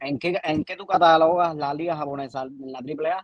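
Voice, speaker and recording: This is a man talking. His pitch is fairly high. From Cuba. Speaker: baseball commentator panelist. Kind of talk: heated debate.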